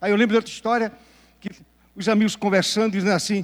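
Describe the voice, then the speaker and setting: The speaker is a man with a high pitch. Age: 70s. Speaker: pastor. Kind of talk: sermon.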